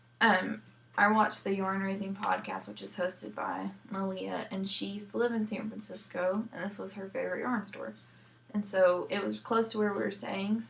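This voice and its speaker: A woman talks at a moderate pace, her loudness swinging widely. Background noise is noticeable. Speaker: knitting podcast host.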